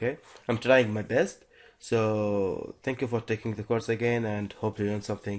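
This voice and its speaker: A man speaks at a moderate pace with a fairly low pitch and fairly even intonation. The background is quiet. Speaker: programming instructor. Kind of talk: tutorial. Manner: halting, many fillers and restarts.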